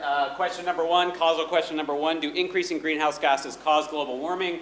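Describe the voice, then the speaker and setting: Over noticeable background noise and audible room echo, a man speaks at a fairly quick pace with a fairly high pitch. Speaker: economist, conference speaker. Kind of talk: academic conference talk. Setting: conference hall with audience. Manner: loud.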